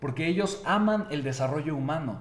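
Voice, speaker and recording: A man with a fairly high pitch talks in an animated tone at a moderate pace with ordinary pitch variation, amid noticeable background noise and audible room echo. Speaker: motivational speaker. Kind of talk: motivational talk.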